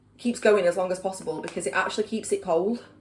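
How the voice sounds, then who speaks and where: Speaking in a medium pitch with a Yorkshire accent, a woman shows ordinary pitch variation. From Yorkshire, England. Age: 30s. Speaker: vlogger. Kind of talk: casual vlog chat. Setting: at home. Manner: chatty, filler-heavy.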